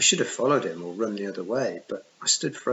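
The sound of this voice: Text is read in an unforced voice.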